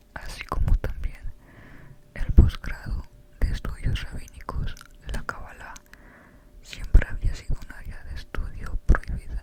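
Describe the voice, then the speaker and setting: Whispering at a fairly slow pace with long, frequent pauses over noticeable background noise. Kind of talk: book reading. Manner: whispered.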